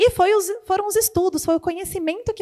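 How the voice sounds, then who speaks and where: A woman speaks in an animated tone. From Brazil, countryside of Botucatu, São Paulo state. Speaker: entrepreneurship speaker, engineer. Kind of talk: motivational talk. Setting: stage with audience.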